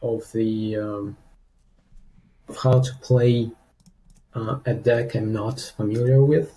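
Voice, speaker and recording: A man's somewhat breathy voice, dark and mellow in tone, at medium pitch with ordinary pitch variation. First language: not English. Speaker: student player. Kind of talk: coaching session. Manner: halting.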